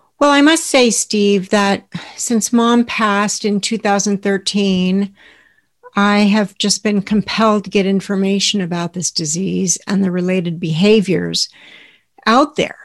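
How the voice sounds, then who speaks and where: In an American accent, a woman with an unremarkable speaking voice talks at a fairly slow pace, her medium pitch showing ordinary variation. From Southern California. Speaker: podcast co-host, former caregiver. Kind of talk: personal storytelling.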